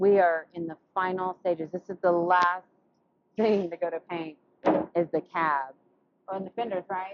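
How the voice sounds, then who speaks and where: A woman with an American accent and a fairly low pitch speaks with big swings in loudness and long, frequent pauses. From West Texas. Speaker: auto body painter, shop owner. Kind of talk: casual shop vlog chat.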